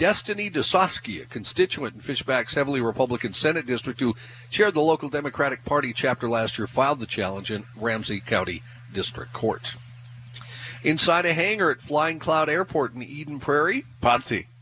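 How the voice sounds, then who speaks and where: Noticeable background noise runs through the clip. The pace is fairly quick. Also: man, medium pitch for a man. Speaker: radio news and sports reader. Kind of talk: news reading. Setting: live remote broadcast from a store.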